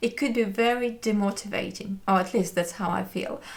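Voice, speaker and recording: A woman talks at a moderate pace with a non-native accent. Her intonation stays fairly even, and background noise is noticeable. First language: not English. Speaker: knitting YouTuber. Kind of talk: casual chat. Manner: hesitant, with fillers.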